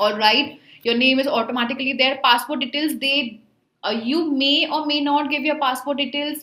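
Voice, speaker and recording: A woman's high voice with an Indian accent, at a moderate pace and fairly even intonation, with audible room echo but a quiet background. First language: Hindi. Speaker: online tutor for job placement exams. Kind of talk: tutorial. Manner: casual, with filler words.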